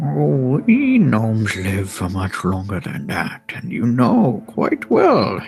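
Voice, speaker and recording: A man uses a put-on character voice at medium pitch, going at a fairly slow pace with hardly any pauses. Background noise is clearly heard. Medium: actual play. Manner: familiar, knowing.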